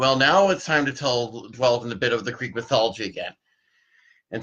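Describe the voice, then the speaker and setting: At a moderate pace comes a plain, everyday voice. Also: man. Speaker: storyteller. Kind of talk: casual podcast intro.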